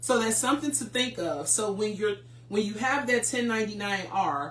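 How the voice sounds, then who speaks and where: A woman's medium-pitched voice with noticeable background noise. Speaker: tax preparer hosting a finance show. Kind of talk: educational livestream talk.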